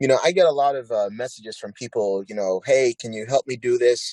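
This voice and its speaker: A man talks at a fairly quick pace, his sound dry and close with no echo. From Ghana, moved to US South Bronx around age 7-8. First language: not English. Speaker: plastic surgeon. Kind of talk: interview.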